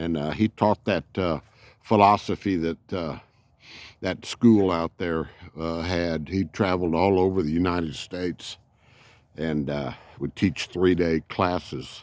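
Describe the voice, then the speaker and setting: This man has a very deep, low voice and a Texan accent, speaking at a fairly slow pace with fairly even intonation. The recording is very clean with a silent background, and the sound is dry and close with no echo. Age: 70s. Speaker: RV vlogger. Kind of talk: casual vlog monologue. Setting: outdoors. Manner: halting.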